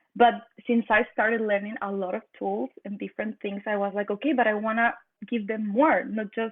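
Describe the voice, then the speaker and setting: With a Mexican accent, a woman speaks at a fairly quick pace. Her voice is fairly high, and her intonation stays fairly even. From northern Mexico. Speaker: energy and consciousness practitioner. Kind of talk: podcast interview. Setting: remote video call.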